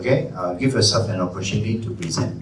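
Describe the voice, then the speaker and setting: A man's voice with noticeable background noise and audible room echo. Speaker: corporate trainer. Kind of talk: presentation workshop; audience Q and A. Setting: stage with audience.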